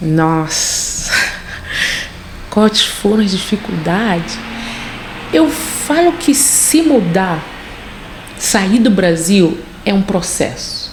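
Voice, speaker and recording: A woman with a Rio de Janeiro accent speaks at a very slow pace with long, frequent pauses, very wide pitch swings and very even loudness, over noticeable background noise. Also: medium pitch for a woman. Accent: Carioca Brazilian Portuguese. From Rio de Janeiro, Brazil. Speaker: nurse. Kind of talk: interview answer. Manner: relaxed, chatty.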